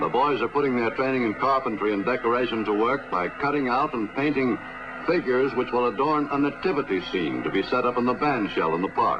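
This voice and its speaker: A man at medium pitch speaks at a fairly quick pace with ordinary pitch variation and very even loudness, over noticeable background noise. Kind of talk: newsreel narration.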